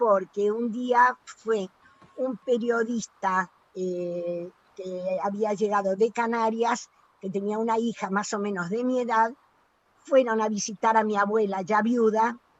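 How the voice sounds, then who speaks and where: A woman's fairly high pitch, fairly even intonation and very slow pace. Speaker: exile, Spanish Civil War refugee. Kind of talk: oral history interview answer.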